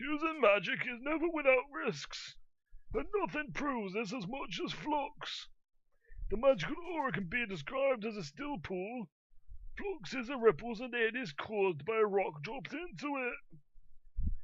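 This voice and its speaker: A put-on character voice with a fairly high pitch moves at a moderate pace. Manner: solemn, theatrical.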